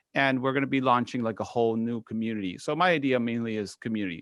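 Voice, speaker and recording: A man talks with an American accent and ordinary pitch variation. Behind him the background is quiet. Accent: picked up American. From Spain. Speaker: photography YouTuber. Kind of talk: casual panel chat.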